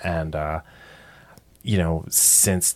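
Speaking fairly slowly, a man holds a monotone, flat intonation. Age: 40s. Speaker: product designer and podcaster. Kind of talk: interview. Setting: home studio.

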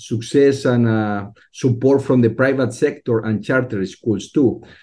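Speaking with a Spanish accent, a man uses a dark, mellow tone at a fairly slow pace. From Mexico. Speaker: STEM education program leader. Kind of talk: interview. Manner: halting.

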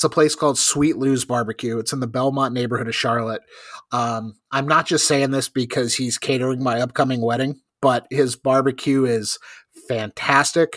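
A normal speaking voice from a man with an American accent, medium-pitched and fairly even in intonation, at a moderate pace on a very clean recording with a silent background. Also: dry, close sound with no echo. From North Carolina. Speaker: podcast host. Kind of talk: casual chat.

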